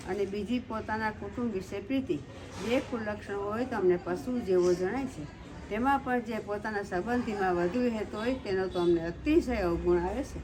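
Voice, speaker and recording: Against noticeable background noise, a woman speaks in a fairly high pitch with ordinary pitch variation. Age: old. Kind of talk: devotional scripture reading.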